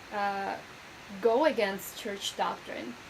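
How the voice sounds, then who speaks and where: Audible room echo colors a woman's speech. Noticeable background noise is also present. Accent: Spanish. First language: Spanish. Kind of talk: video lecture. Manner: conversational, with many fillers.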